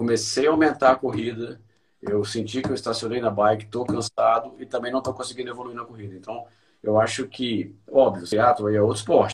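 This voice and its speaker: In an unremarkable speaking voice, a man talks at a medium pitch and a fairly quick pace, with fairly even intonation. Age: 40s. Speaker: amateur runner. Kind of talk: interview.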